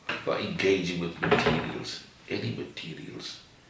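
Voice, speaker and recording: Noticeable background noise and audible room echo accompany a man speaking at a fairly slow pace. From South Africa, Cape Town. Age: 80s+. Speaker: artist. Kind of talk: interview.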